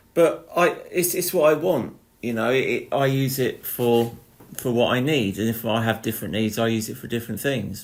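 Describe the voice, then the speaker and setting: This man has an unremarkable speaking voice at medium pitch, with ordinary pitch variation and a moderate pace. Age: 40s. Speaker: artist and musician. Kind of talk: casual chat.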